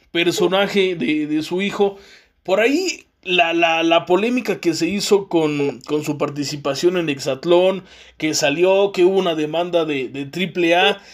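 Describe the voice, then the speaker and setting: Speaking with a Mexican accent, a man uses a high pitch at a fairly slow pace. His tone is animated. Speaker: podcast host. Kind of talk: interview.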